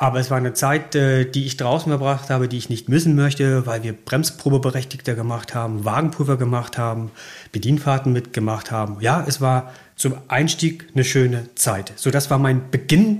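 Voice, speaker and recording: A somewhat breathy man's voice at medium pitch, with ordinary pitch variation and a moderate pace, on a very clean recording with a silent background. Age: 40s. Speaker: rail freight manager. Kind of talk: interview. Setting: office at rail yard.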